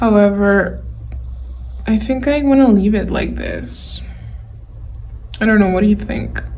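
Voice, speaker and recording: Pausing long and often, a woman speaks at a fairly slow pace amid noticeable background noise and audible room echo. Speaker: digital artist. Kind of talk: tutorial.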